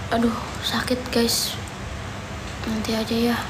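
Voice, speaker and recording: Noticeable background noise surrounds a woman's voice. She speaks at a very slow pace. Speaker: livestreamer. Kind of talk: casual livestream chat. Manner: weak, pained voice from toothache. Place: home room. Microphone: phone near.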